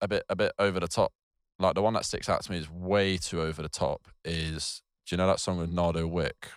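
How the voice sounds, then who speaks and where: Speaking at a fairly quick pace with a southern English accent, a man comes through on a very clean recording with a silent background and a dry, close sound with no echo. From southern England, New Forest. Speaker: photographer and videographer. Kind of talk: casual chat. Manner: halting.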